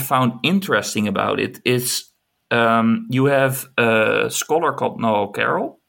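The recording is very clean, its background silent. A man speaks very slowly. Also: very even loudness. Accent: Dutch. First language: Dutch. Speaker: film scholar and writer. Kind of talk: casual chat.

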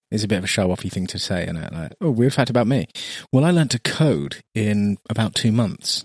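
A man with an ordinary speaking voice talks at a fairly low pitch with lively intonation, the sound dry and close with no echo. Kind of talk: casual chat.

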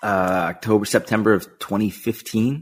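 This is a man with an ordinary speaking voice, fairly low in pitch and with ordinary pitch variation. The recording is very clean, with a silent background. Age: 40s. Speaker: sneaker marketplace co-founder. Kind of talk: interview.

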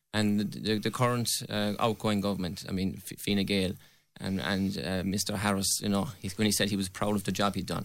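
With a Limerick accent, a man talks at a fairly quick pace using fairly even intonation. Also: very clean recording, silent background. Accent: Irish (Limerick). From Ireland, County Limerick. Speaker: election candidate. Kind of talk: radio election debate.

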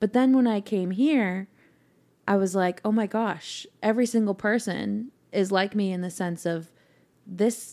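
A dark, mellow tone with a Californian accent. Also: woman, medium pitch for a woman, ordinary pitch variation. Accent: general American (Californian). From Northern California (Mill Valley). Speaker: singer-songwriter. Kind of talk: casual chat. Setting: at host's house.

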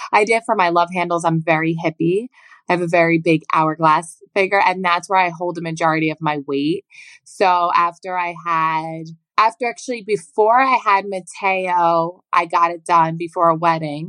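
A woman's unremarkable speaking voice with an American accent, fairly low in pitch, at a moderate pace with fairly even intonation, in a dry, close sound with no echo. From New Jersey Shore. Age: 30s. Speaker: podcast guest, mother. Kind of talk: casual chat.

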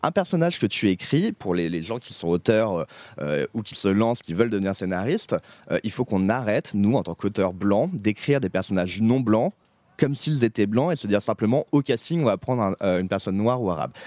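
A man with a plain, everyday voice speaks at a fairly quick pace and a fairly low pitch, his intonation lively, in a dry, close sound with no echo on a very clean recording with a silent background. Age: 30s. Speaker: TV series director and co-writer. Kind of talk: casual chat. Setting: outdoors.

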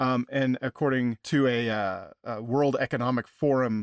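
A man's medium-pitched voice with an American accent, dry and close with no echo. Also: very clean recording, silent background. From Kansas. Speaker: podcast co-host. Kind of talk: casual chat.

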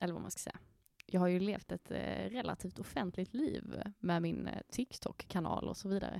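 Recorded dry and close with no echo, a woman talks at a moderate pace and medium pitch, with ordinary pitch variation. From Skåne, southern Sweden. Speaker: podcast co-host. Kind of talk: casual chat. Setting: podcast studio in a coworking space.

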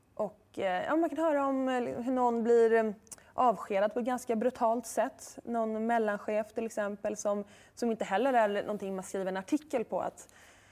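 A woman talks in a normal speaking voice at a moderate pace, with ordinary pitch variation. The recording is very clean, with a silent background. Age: 30s. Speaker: author and journalist. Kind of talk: interview.

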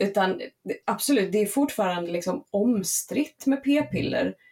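Lively intonation and vocal fry mark a woman's dark, mellow tone. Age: 30s. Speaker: podcast guest. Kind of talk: casual chat.

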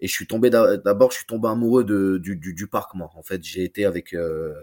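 A man with a plain, everyday voice speaks at a moderate pace and fairly low pitch. The sound is dry and close, with no echo. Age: 30s. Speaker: football YouTuber and fan. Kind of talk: casual chat.

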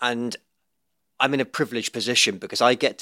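In a Liverpool accent, a man with a bright, sharp tone and medium pitch talks at a very fast pace, dry and close with no echo, on a very clean recording with a silent background. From Liverpool, England. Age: 40s. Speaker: podcast host and entrepreneur. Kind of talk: podcast interview. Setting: studio.

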